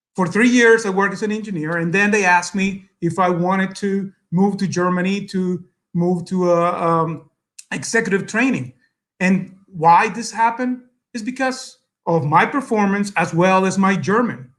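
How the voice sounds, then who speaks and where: A man with a Spanish accent speaks at a moderate pace. His voice is high for a man, with ordinary pitch variation. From El Salvador. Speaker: businessman, guest speaker. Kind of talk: speech to an audience. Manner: halting, many fillers.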